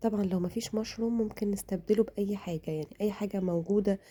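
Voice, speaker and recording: In a dark, mellow, somewhat breathy tone, a woman with an Egyptian accent speaks at a moderate pace and medium pitch with ordinary pitch variation. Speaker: cooking vlogger. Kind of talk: cooking tutorial.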